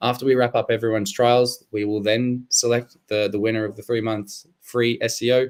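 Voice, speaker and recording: At a fairly quick clip, a man with an Australian accent speaks at a medium pitch, the sound dry and close with no echo. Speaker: SEO expert hosting a webinar. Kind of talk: live webinar presentation.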